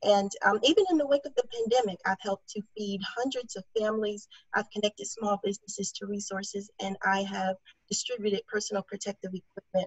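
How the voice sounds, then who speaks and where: A somewhat breathy woman with an American accent, medium pitch, fairly even intonation and a fairly quick pace. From DeKalb County, Georgia, US South. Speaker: political candidate, chemist. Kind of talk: candidate forum statement.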